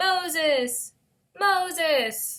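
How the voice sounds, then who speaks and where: An extremely high-pitched, put-on character voice does the talking. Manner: commanding, calling out.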